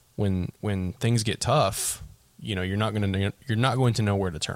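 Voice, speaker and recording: In a plain, everyday voice, a man talks at a moderate pace with a fairly low pitch and fairly even intonation. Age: 20s. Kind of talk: casual chat.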